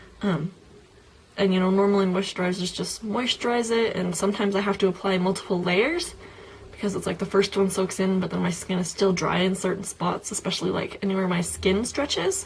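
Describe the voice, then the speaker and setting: Noticeable background noise runs under the voice. The speech moves at a fairly quick pace with fairly even intonation. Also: woman, medium pitch for a woman. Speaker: beauty vlogger. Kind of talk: casual product review vlog. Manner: filler-heavy, lots of um and like.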